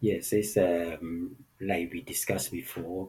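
A man's very deep, low voice, somewhat breathy, with ordinary pitch variation. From Vietnam. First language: Vietnamese. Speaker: actor. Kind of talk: interview conversation. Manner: halting, many fillers.

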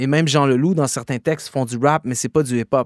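A man's fairly high voice in a very clean recording with a silent background and a dry, close sound with no echo. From Quebec, Gatineau. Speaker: rapper and slam poet. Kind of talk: interview. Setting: studio.

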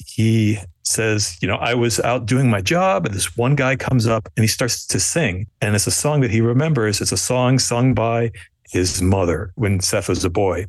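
This man talks at a moderate pace in a medium pitch. His pitch varies in an ordinary way. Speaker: screenwriter and studio executive. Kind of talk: casual chat. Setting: remote call over the internet.

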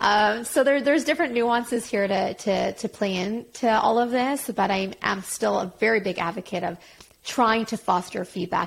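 Speaking in a normal speaking voice with a Canadian accent, a woman holds a moderate pace. Her medium pitch shows ordinary variation. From Quebec, Montreal. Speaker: career coach. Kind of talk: casual interview. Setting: remote call.

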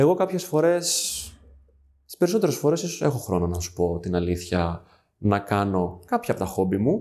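In a very clean recording with a silent background, a man speaks at a moderate pace, with long, frequent pauses and big swings in loudness. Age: 30s. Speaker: HR manager. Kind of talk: interview.

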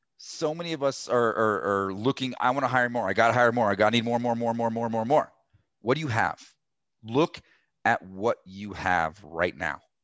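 A man with an unremarkable speaking voice and an American accent, medium in pitch with lively intonation, against a quiet background. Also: moderate pace. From Colorado. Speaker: roofing business consultant. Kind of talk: podcast interview.

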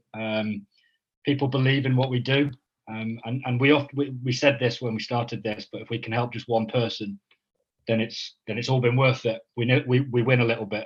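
Flat, monotone intonation, a somewhat breathy voice and a fairly quick pace. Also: man, medium pitch for a man. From northern England. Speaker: mental health charity co-founder. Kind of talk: casual interview. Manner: halting, many fillers.

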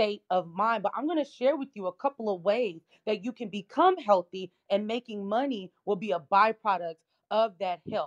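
A woman speaks in a plain, everyday voice, fairly high in pitch, at a moderate pace with lively intonation. The sound is dry and close, with no echo. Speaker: marketing firm owner. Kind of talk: personal testimony.

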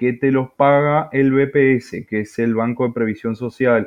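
This man speaks with a Uruguayan accent at a medium pitch and a fairly slow pace. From Uruguay, Tacuarembó. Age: young. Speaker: salesman and father. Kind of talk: personal testimony. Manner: halting, repeats words.

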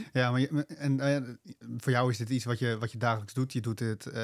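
This man has a normal speaking voice, medium in pitch, delivered at a fairly quick pace with fairly even intonation. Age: 20s. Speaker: podcast host. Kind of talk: interview conversation.

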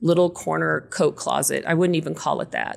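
At a moderate pace, a woman with a West Texas accent talks in a fairly low pitch. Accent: West Texas American. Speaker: realtor. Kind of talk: casual interview chat.

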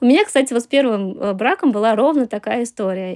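A woman talks with ordinary pitch variation. The background is silent and the recording very clean. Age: 30s. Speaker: journalist and marketer. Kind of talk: interview testimony.

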